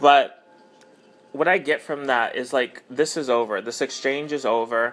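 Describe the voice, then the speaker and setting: Music in the background behind a man speaking at a fairly slow pace. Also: medium pitch for a man, ordinary pitch variation. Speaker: tarot reader. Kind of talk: tarot reading monologue. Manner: halting, many fillers.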